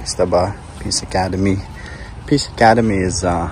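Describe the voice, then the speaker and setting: A man's very deep, low voice with ordinary pitch variation, with audible room echo and noticeable background noise. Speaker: vlogger. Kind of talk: travel vlog, casual walk-and-talk. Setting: on a school campus near a mosque. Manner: hesitant, many fillers; slow and low volume.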